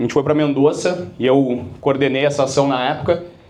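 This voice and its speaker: Speaking with a Porto Alegre accent, a man has a fairly high pitch and fairly even intonation at a fairly quick pace. Audible room echo surrounds his voice. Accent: Porto Alegre (gaúcho) accent, retained. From Brazil, Porto Alegre (Rio Grande do Sul). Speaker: business speaker, sales company founder. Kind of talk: keynote talk to business audience. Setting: stage with live audience. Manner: casual, conversational, with many fillers.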